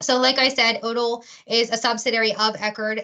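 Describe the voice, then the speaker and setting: A woman talks in a bright, sharp tone at a fairly high pitch. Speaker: corporate recruiter. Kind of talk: career webinar presentation. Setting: online webinar. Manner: fast; enthusiastic.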